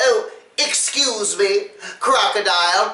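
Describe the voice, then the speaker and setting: Fairly slow and fairly high-pitched, a female-sounding put-on character voice carries a slight echo. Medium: read story. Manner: wheedling, falsely humble.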